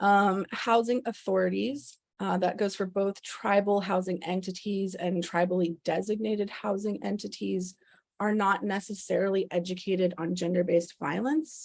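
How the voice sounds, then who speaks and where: A woman with a normal speaking voice and ordinary pitch variation talks over a quiet background. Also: medium pitch for a woman, moderate pace. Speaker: presenter at policy briefing. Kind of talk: presentation.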